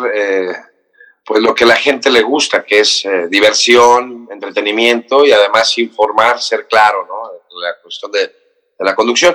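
A man speaks at a fairly slow pace in a medium pitch, with ordinary pitch variation and a bright, sharp tone. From Mexico, raised in Cancún. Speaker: actor and TV morning show host. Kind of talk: casual interview chat.

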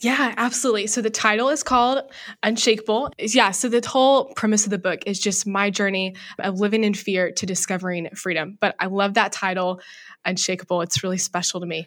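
Over a silent background in a very clean recording, a woman with a plain, everyday voice speaks at a fairly quick pace with ordinary pitch variation. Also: medium pitch for a woman. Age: 20s. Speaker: author and college student. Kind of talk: interview.

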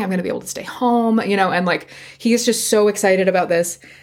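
Very fast and with vocal fry, a woman with an American accent talks at a medium pitch and fairly even intonation, recorded very cleanly against a silent background. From Virginia, US. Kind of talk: casual chat and storytelling. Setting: home recording with cat.

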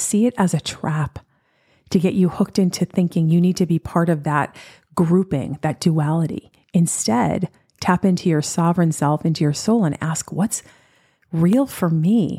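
This voice has an American accent, a dark, mellow tone, and a somewhat breathy quality, with ordinary pitch variation. The recording is very clean, with a silent background and a dry, close sound with no echo. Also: woman. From US Northeast, New York. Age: 50s. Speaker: podcast host, spiritual and wellness teacher. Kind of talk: solo podcast monologue.

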